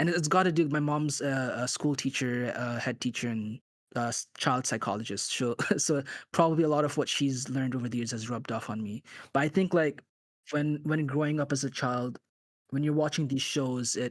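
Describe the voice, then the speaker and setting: This man talks fairly quickly. The rise and fall of his pitch is ordinary. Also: fairly high pitch for a man. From Bangladesh (born in UK, left at five or six). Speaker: animator. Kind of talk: podcast interview. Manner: halting, many fillers and restarts.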